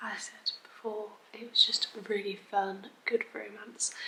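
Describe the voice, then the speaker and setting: Whispering with an English accent, a woman goes at a fairly slow pace over noticeable background noise. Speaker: book vlogger. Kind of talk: casual vlog. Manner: soft-spoken.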